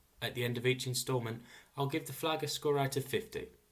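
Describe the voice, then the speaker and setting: A somewhat breathy man's voice at medium pitch with ordinary pitch variation. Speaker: flag history presenter. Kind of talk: educational narration.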